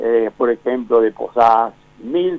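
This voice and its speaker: Very slow pace from a man, his pitch variation ordinary. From Argentina, Misiones (Montecarlo). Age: 90s. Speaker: book author, local historian. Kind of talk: phone interview. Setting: phone call. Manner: halting.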